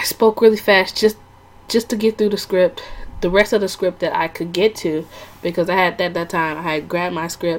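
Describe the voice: A woman speaks with a fairly low pitch. Her intonation is fairly even.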